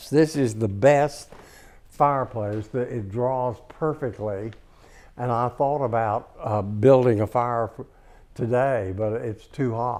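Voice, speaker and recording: Keeping a fairly even intonation, a man of medium pitch speaks very slowly. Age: 80s+. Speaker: interior designer. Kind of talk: home tour talk. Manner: hesitant, storytelling.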